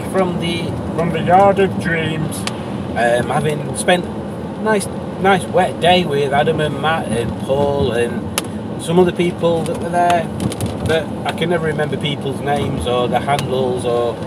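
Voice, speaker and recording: A man at a fairly slow pace with ordinary pitch variation, a dry sound with no echo and loud background noise. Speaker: car vlogger. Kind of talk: casual vlog chat. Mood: relaxed, upbeat. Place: car. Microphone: camera far.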